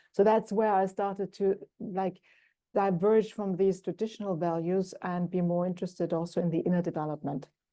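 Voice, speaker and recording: A woman with a German accent speaks at a fairly quick pace, her dark, mellow tone and fairly even intonation set against a quiet background. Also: medium pitch for a woman. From Germany. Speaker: executive coach. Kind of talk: interview. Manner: thoughtful, hesitant with fillers.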